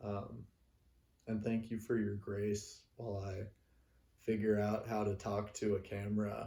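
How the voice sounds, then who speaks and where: Very slow and monotone with flat intonation, a man speaks in a fairly low pitch, his voice somewhat breathy with a dark, mellow tone. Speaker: singer-songwriter. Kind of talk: casual talk to camera. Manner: halting, many pauses and fillers.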